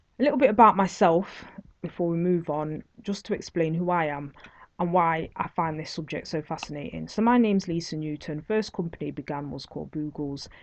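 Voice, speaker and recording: A woman speaks with a Nottingham accent at a fairly low pitch and a fairly quick pace. Her pitch varies in an ordinary way over a quiet background. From England, Nottingham. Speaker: online course instructor, entrepreneur. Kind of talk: online course lecture.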